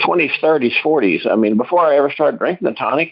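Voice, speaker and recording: A man with an American accent, fairly high-pitched and with vocal fry. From US Midwest (Southwest Missouri). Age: 60s. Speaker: university animal science staff. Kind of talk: testimony. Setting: conference call. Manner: casual, conversational.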